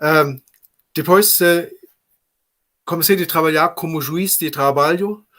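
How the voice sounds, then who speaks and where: Speaking in a German accent at a very slow pace, the voice has a bright, sharp tone and fairly even intonation, broken by long, frequent pauses. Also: man, high pitch for a man. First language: German (speaking Portuguese). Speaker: labour judge. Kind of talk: panel talk. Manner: halting.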